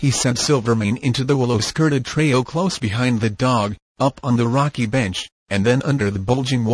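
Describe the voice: Plain reading aloud, with ordinary pitch variation, comes through over a quiet background.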